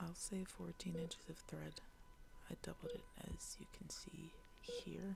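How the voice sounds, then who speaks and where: Speech comes at a fairly slow pace. The voice is soft-spoken. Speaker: ASMR roleplayer playing a surgeon. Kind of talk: ASMR medical roleplay, soft-spoken. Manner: soft-spoken, slow.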